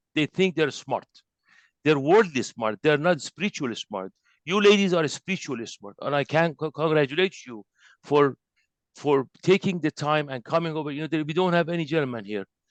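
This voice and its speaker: A man's fairly high voice in an Iranian accent, fairly quick and lively in intonation, with big swings in loudness, dry, close sound with no echo and a quiet background. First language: Persian. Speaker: spiritual teacher. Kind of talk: lecture. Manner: halting.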